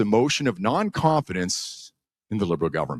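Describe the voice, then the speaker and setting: A fairly quick speaker with vocal fry and very wide pitch swings, on a very clean recording with a silent background. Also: man. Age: 60s. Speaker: YouTuber and former radio broadcaster. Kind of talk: conference speech.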